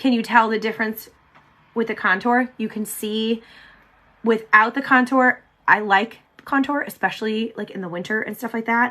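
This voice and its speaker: Her pace is fairly quick and her intonation fairly even. This woman has a fairly high pitch and a bright, sharp tone. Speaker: beauty vlogger. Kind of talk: live makeup tutorial chat. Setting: livestream on camera. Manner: chatty, casual; stumbling over words.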